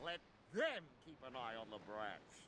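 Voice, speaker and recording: A cartoonish character voice speaks at a fairly slow pace. Clear background noise can be heard. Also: man. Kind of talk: cartoon villain overacting. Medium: video game. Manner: theatrical, fretful.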